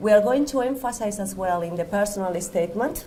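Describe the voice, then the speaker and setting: Amid audible room echo, a woman with a Spanish accent speaks with lively intonation. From Spain. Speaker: university staff member. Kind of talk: presentation. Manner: halting.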